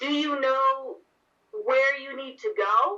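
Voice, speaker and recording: A woman performs a put-on character voice with a high pitch. Her pace is fairly slow and her intonation lively. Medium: actual play. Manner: earnest, helpful.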